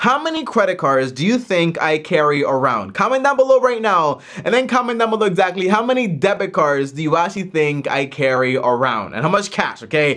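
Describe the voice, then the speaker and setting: Very wide pitch swings mark a man's very fast speech over a quiet background. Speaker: personal finance youtuber. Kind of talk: casual vlog chat. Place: home room.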